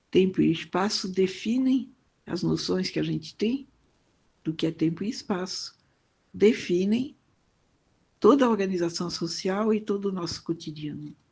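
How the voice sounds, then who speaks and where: Against a quiet background, a woman with a dark, mellow, medium-pitched voice and vocal fry speaks fairly slowly, with ordinary pitch variation and long, frequent pauses. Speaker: professor. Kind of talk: lecture. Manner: hesitant, with many fillers.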